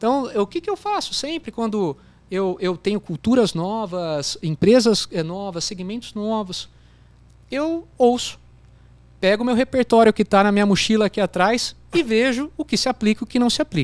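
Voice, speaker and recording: Lively intonation from a high-pitched man at a moderate pace, the sound dry and close with no echo, on a very clean recording with a silent background. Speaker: business executive, CEO. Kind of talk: interview answer. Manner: casual, hesitant.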